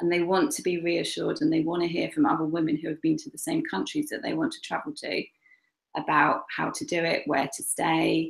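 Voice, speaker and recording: A woman speaks with an English accent. Her pace is fairly quick. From England. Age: 40s. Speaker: travel blogger. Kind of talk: interview.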